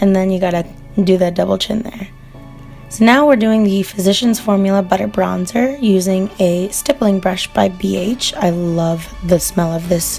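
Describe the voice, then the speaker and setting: With ordinary pitch variation and a moderate pace, the speaker talks over music in the background. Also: woman, medium pitch for a woman. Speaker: beauty vlogger. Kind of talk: makeup tutorial voiceover. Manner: casual, chatty.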